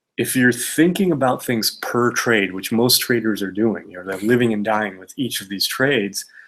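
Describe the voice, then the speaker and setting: A man at medium pitch, moderate pace and hardly any pauses, with big swings in loudness, in a very clean recording with a silent background. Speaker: stock trader answering viewer questions. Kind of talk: Q&A video monologue. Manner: even, monotone delivery.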